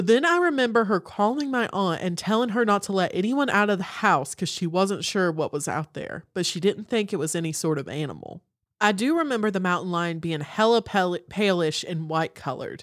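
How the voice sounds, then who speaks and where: A woman with an Appalachian accent at a medium pitch, fairly quick with hardly any pauses and lively intonation, in a very clean recording with a silent background. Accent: Southern US (Appalachian). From Western North Carolina. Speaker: podcast co-host. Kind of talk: casual chat.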